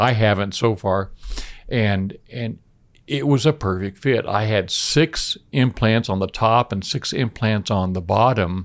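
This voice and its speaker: The recording is very clean, with a silent background. The speech is very slow, with ordinary pitch variation. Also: man. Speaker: dental implant patient. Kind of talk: interview testimony. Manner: halting, repeats words.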